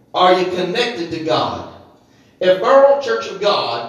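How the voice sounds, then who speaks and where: A man speaks in a high voice with lively intonation, with audible room echo and noticeable background noise. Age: 50s. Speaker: pastor. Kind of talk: evening church sermon, fervent call-and-response revival preaching. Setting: church service with congregation. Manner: impassioned, rhythmic preaching cadence punctuated by hallelujahs and amens; rising exhortation, urging congregation to shout praise.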